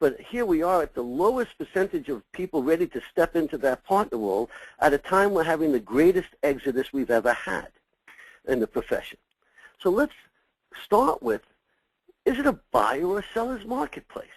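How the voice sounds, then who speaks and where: Speaking with a New York accent at a moderate pace, a man uses very wide pitch swings in a high register for a man. Long, frequent pauses break up his speech, and the sound is dry and close with no echo. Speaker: succession consultant for accounting firms. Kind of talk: webinar presentation. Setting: webinar.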